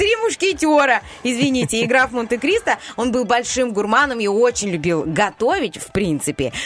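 A woman with a high voice talks in an animated tone at a moderate pace, her pitch swinging very widely over noticeable background noise. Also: big swings in loudness. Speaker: radio host. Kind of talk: casual banter on morning radio show. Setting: studio. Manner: animated, chatty.

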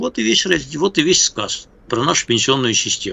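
At a moderate pace, a man with a fairly high pitch talks in very wide pitch swings. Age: 60s. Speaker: political analyst and journalist. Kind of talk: casual chat. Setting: Skype call. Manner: halting.

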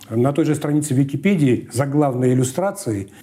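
A man talks fairly quickly in an ordinary speaking voice, fairly high in pitch, with ordinary pitch variation. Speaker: newspaper archive expert. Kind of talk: soviet newsreel narration, reading archive newspaper text aloud. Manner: formal, measured, solemn official tone.

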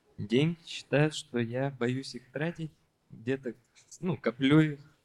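A man's quiet voice at a very slow pace. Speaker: food business owner. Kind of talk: personal interview. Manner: quiet, reserved.

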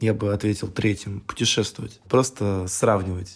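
A man with a fairly low pitch speaks at a fairly slow pace and with fairly even intonation, in a plain, everyday voice. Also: very clean recording, silent background. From Russia, Tambov region (Michurinsk). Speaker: artist and curator. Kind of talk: casual interview.

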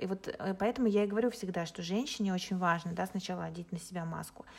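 A woman with an ordinary speaking voice talks at a fairly quick pace and medium pitch. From Russia. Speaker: life coach. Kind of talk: podcast interview.

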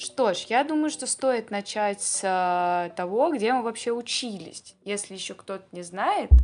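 Speaking at a very slow pace, a woman uses lively intonation in a fairly high pitch. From Russia. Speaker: podcast co-host. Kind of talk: casual chat.

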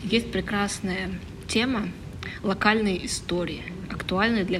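A woman speaks at a fairly slow pace with fairly even intonation. Audible room echo and noticeable background noise surround her voice. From northern Leningrad Oblast, Russia (Vyborg district). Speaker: comics artist and illustrator. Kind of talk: casual interview. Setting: outdoors in a courtyard.

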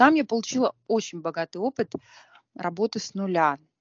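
The delivery keeps a moderate pace with ordinary pitch variation. It is a normal speaking voice. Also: woman. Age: 40s. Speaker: cafe owner. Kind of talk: interview.

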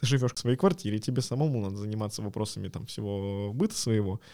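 A man speaks at a very fast pace in a dark, mellow tone with ordinary pitch variation. The recording is very clean, with a silent background. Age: 20s. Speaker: podcast co-host, product designer. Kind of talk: casual chat.

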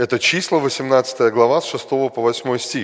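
The speaker is a man. His pitch is medium. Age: 40s. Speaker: preacher. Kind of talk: sermon.

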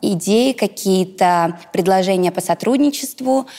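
A woman talks in an ordinary speaking voice. Her pitch variation is ordinary. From Russia, Ivanovo region. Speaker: blogger and businesswoman. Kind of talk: interview.

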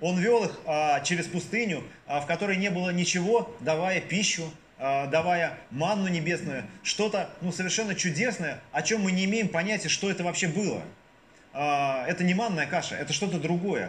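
A high-pitched man speaks at a moderate pace with very even loudness. Noticeable background noise and audible room echo fill the recording. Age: 40s. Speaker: deacon preaching. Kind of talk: sermon. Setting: church. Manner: hesitant, frequent filler sounds.

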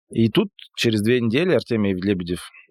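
A man with a normal speaking voice and fairly low pitch talks at a moderate pace. The recording is very clean, with a silent background and a dry, close sound with no echo. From Perm region, Urals, Russia. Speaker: brand designer. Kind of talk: casual interview conversation.

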